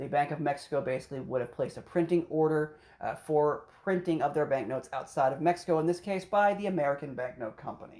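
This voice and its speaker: Very rapid delivery with hardly any pauses. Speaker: podcast co-host reviewing banknotes. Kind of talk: casual explainer chat. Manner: fast.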